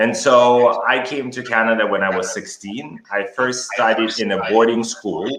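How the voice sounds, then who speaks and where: The speech moves at a fairly slow pace with hardly any pauses and fairly even intonation. Noticeable background noise sits behind it. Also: man, medium pitch for a man. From Kazakhstan. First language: Russian. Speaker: educator and author. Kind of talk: interview.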